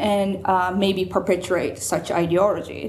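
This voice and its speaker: Woman at a medium pitch, fairly slow pace, audible room echo. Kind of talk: lecture. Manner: hesitant, many fillers.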